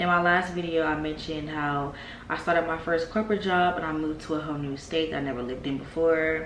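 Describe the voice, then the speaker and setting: Amid noticeable background noise and audible room echo, a woman with a very deep, low voice speaks at a fairly quick pace. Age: 20s. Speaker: vlogger and business owner. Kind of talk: casual vlog talk.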